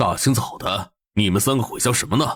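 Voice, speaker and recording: In a raspy, cartoonish character voice at medium pitch, a man speaks at a fairly quick pace. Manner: blustery.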